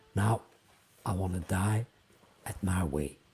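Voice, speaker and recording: With a Flemish accent, a man speaks in a dark, mellow tone that is somewhat breathy. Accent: Flemish Dutch accent in English. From Flanders, Belgium. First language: Dutch (Flemish). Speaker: singer-songwriter. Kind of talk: interview. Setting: livestream.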